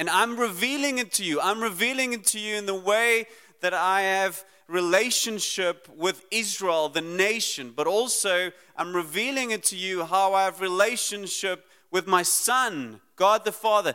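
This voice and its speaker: His voice is raised and projected, bright and sharp in tone. The man's pitch is high. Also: ordinary pitch variation, moderate pace. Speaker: preacher. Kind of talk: sermon.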